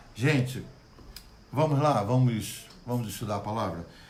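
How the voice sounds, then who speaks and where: Somewhat breathy, a man speaks at a fairly slow pace with ordinary pitch variation and audible room echo. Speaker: pastor. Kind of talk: Bible study livestream. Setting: Facebook live stream. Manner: good-humored, animated.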